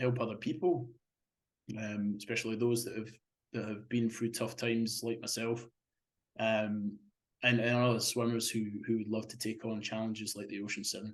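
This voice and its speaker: A man with a Scottish accent, medium pitch, monotone, flat intonation and a moderate pace, plus long, frequent pauses. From Scotland. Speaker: marathon swimmer. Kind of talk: interview. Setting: podcast interview. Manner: halting, many repetitions.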